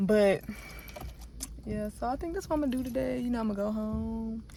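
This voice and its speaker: Speech comes at a very fast pace against noticeable background noise. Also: woman. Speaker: vlogger. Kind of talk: casual vlog talk. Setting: in a car, then outdoors at home. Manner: rambling, animated.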